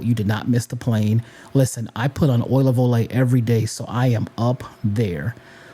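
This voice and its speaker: Noticeable background noise surrounds a man of medium pitch speaking with fairly even intonation. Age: 40s. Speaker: podcast host. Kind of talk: motivational talk.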